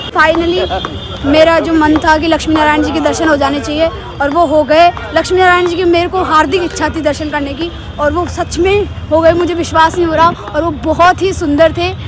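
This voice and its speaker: A woman's extremely high-pitched voice, monotone and flat, with crowd noise in the background. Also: moderate pace. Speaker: travel vlogger. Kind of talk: travel vlog. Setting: outdoors. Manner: casual, conversational.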